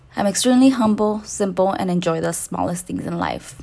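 A woman's medium-pitched voice moves at a fairly quick pace, its pitch varying in an ordinary way. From Salinas Valley, California. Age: 20s. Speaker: podcast host.

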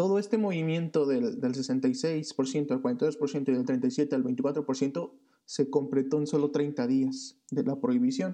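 The tone is dark and mellow, with lively intonation and a Mexican accent. Delivery is very slow at a very even loudness. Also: man, fairly high pitch for a man. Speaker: podcast co-host. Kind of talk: casual chat.

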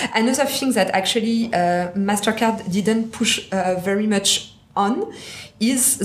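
Over noticeable background noise, a woman talks with fairly even intonation. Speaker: banking executive. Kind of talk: casual chat.

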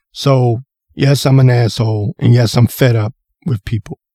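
A man speaks at a fairly slow pace in a medium pitch, his somewhat breathy voice dark and mellow in tone, with ordinary pitch variation and a dry, close sound with no echo. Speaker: podcast host. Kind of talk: solo podcast rant. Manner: animated.

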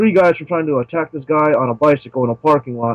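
In an ordinary speaking voice, a man talks at a fairly quick pace with a fairly high pitch. The sound is dry and close, with no echo. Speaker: real-life superhero, movie participant. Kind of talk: interview. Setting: video call.

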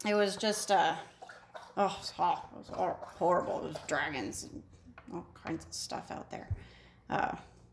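A put-on character voice, female-sounding, medium in pitch and raspy, at a fairly slow pace.

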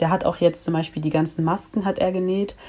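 Very fast delivery with fairly even intonation. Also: woman. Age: 20s. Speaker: student and activist. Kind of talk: casual podcast interview.

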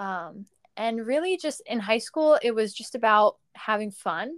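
A woman's unremarkable speaking voice, fairly high in pitch with ordinary variation, at a fairly slow pace, in a very clean recording with a silent background and a dry, close sound with no echo. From US Northeast, Long Island, New York. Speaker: runner and assistant coach. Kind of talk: podcast interview.

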